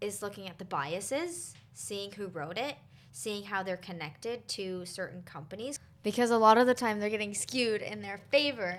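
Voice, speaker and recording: Speaking at a moderate pace and medium pitch with ordinary pitch variation, a woman has a plain, everyday voice. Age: 20s. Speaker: wellness podcast host. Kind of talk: casual interview chat.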